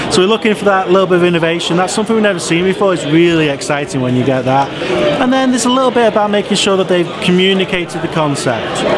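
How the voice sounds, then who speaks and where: Loud background noise fills the clip. Over it, a man speaks at a very fast pace. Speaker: judge. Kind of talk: interview answer. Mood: upbeat, smiling.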